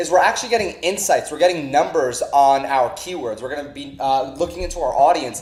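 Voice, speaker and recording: A man talks at a fairly quick pace with hardly any pauses and ordinary pitch variation. His loudness swings widely, and there is noticeable background noise. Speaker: online marketing instructor. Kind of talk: tutorial. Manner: fast.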